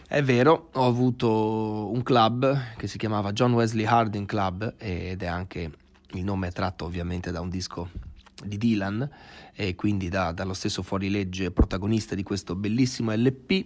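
In a normal speaking voice, a man talks at a moderate pace, fairly low in pitch with ordinary pitch variation. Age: 20s. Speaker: actor and musician. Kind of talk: casual interview.

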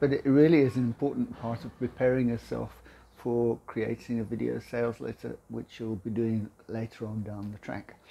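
The man's tone is dark and mellow. He talks at a moderate pace with fairly even intonation. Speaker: video confidence coach. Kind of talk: casual tutorial vlog. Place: kitchen.

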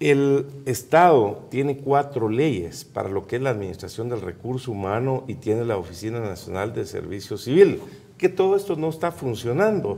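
A man with a dark, mellow tone, medium pitch, very wide pitch swings and a moderate pace. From Guatemala, Quiché department. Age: 50s. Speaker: presidential candidate; candidate. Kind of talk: political interview. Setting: studio. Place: studio. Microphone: lapel.

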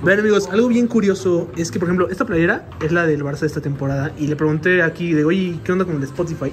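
Over noticeable background noise, a man with a Mexican accent talks at a very fast pace in a high pitch with ordinary variation. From Mexico. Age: 20s. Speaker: YouTuber. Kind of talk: casual vlog. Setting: inside a shop. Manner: animated. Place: shop. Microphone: phone near.

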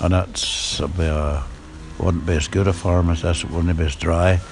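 A man's very deep, low voice in a Northern Irish accent, fairly slow and fairly even in intonation, over noticeable background noise. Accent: Northern Irish (Ulster Scots, Antrim). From Northern Ireland, County Antrim. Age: 80s+. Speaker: farmer. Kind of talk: casual interview.

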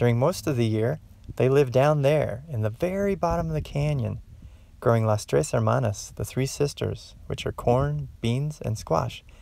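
A man speaks at a moderate pace in a calm, gentle tone, the sound dry with no echo. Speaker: garden educator. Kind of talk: educational lesson for children. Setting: outdoors. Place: open country. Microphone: phone near.

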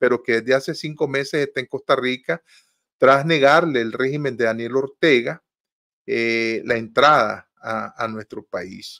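A man talks at a fairly slow pace, his pitch varying in an ordinary way, and the background stays quiet. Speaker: host of a political talk show. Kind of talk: news commentary. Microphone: video call.

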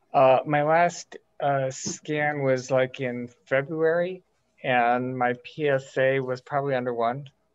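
Very slow pace with fairly even intonation against a quiet background. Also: man, medium pitch for a man. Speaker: prostate cancer patient in support group. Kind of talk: audience question in online meeting. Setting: video call. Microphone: video call.

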